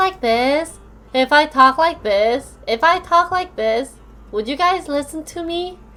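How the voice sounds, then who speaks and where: In a put-on character voice, a man uses falsetto at an extremely high pitch and speaks at a fairly slow pace. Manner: calming, sweet.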